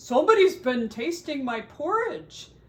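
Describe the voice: A put-on character voice pitched high. It comes out with a growl. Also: moderate pace.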